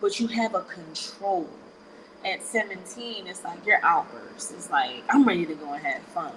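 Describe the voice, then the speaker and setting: Over noticeable background noise, a woman speaks at a moderate pace in a medium pitch, with very wide pitch swings and big swings in loudness. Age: 30s. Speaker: podcast guest. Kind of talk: casual chat.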